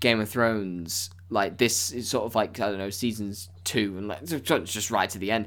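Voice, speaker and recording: Over a silent background in a very clean recording, a man with a British accent speaks fairly slowly. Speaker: podcast host. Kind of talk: casual chat.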